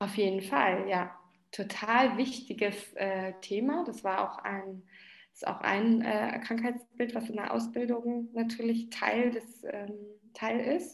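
Speaking at a very slow pace, a woman with a fairly high, somewhat breathy voice is heard with audible room echo. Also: ordinary pitch variation. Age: 30s. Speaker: dance therapist. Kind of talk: interview.

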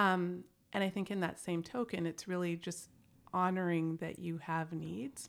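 A woman with a plain, everyday voice speaks at a fairly slow pace and a fairly low pitch. The recording is very clean, with a silent background. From Canada. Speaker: executive coach. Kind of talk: casual chat.

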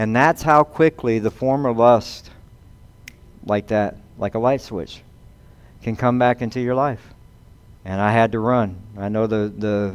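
A man with a Southern US accent at medium pitch, fairly slow with long, frequent pauses and ordinary pitch variation. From US South. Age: 50s. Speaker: pastor. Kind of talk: sermon.

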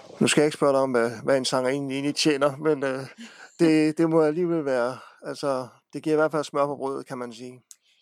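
A man talks at a fairly quick pace in a monotone, flat delivery with a fairly high pitch, on a very clean recording with a silent background. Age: 40s. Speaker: local radio host. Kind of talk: interview.

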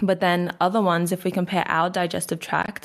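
Very clean recording with a silent background of a woman in an Australian accent, fairly low pitch, fairly even intonation, moderate pace. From Queensland, Australia. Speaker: natural health practitioner. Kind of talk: interview.

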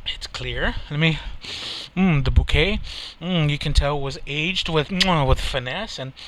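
The speaker has an American accent and a fairly slow pace. Noticeable background noise is present. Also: man. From Texas. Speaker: podcast host. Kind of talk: casual chat.

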